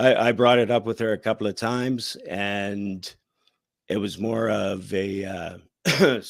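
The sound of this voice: Putting on a character voice, a man speaks hoarsely at a fairly low pitch. His pace is fairly slow and his intonation fairly even.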